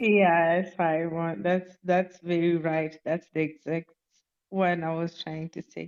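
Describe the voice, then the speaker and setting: A woman's fairly low-pitched voice at a very slow pace, with fairly even intonation. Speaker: podcast guest. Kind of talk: casual discussion. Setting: online audio room. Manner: halting.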